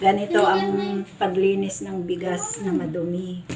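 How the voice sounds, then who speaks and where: A woman's medium-pitched voice, with audible room echo and noticeable background noise. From Cagayan, northern Philippines. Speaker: domestic helper and vlogger. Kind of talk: casual vlog tutorial. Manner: casual, polite with frequent po and guys.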